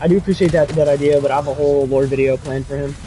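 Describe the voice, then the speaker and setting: Noticeable background noise behind a man's voice. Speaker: gaming streamer. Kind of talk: live gameplay commentary and chat reading. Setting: livestream. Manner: casual, fast.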